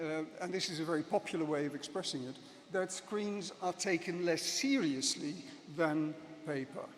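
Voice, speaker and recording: Noticeable background noise sits behind a man whose high voice moves at a moderate pace with ordinary pitch variation. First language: Dutch. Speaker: professor. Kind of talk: conference speech. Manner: hesitant, many fillers.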